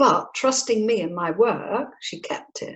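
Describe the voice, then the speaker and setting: A woman with an English accent speaks in a somewhat breathy, fairly high voice that makes very wide pitch swings. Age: 70s. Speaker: psychic medium and spirit artist. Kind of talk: interview.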